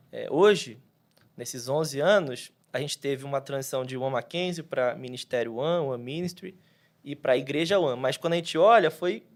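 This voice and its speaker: A fairly high man's voice at a moderate pace with ordinary pitch variation, on a very clean recording with a silent background. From Rio de Janeiro, Brazil, with Minas Gerais family. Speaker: pastor. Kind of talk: podcast interview. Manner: casual, halting with fillers.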